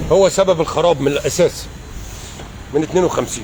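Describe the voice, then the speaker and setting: The speaker has an animated tone and an Egyptian accent, talking at a moderate pace with ordinary pitch variation. Noticeable background noise can be heard. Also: man. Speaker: political commentator. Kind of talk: political rant. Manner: loud.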